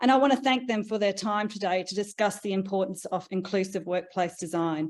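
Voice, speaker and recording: A woman talks with an Australian accent. The background is quiet. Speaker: research leader and panel moderator. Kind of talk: panel moderation and presentation. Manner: hesitant, many fillers.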